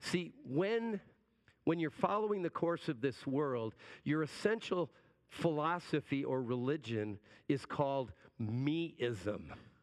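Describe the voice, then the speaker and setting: Against a quiet background, a man with a fairly high pitch talks at a very slow pace, his pitch swinging very widely. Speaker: pastor. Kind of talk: sermon.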